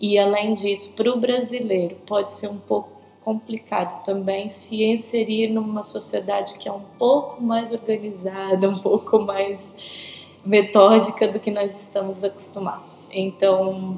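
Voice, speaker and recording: With noticeable background noise, a woman with a São Paulo accent speaks at a fairly slow pace, her medium pitch held in a monotone, flat intonation. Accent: São Paulo Brazilian Portuguese. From Brazil, São Paulo. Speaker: interviewee, church member. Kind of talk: casual interview. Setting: video recording with host beside her.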